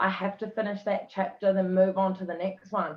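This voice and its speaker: A woman talks in a New Zealand accent. Her pace is fairly slow. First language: not English. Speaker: author. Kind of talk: casual interview chat.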